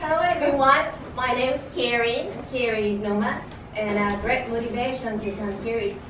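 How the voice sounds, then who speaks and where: Amid noticeable background noise and audible room echo, a woman with a Japanese accent speaks at a moderate pace, fairly high in pitch with ordinary pitch variation. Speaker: club guest. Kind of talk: impromptu speech. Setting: meeting in coffee house. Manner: halting.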